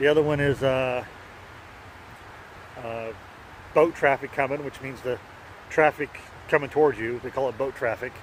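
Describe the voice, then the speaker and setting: A man with a Kansas accent speaks with fairly even intonation. Noticeable background noise runs under his voice. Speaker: pipe-smoking video blogger. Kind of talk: casual vlog monologue. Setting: outdoors on a park bike trail. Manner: halting, with many fillers and repeats.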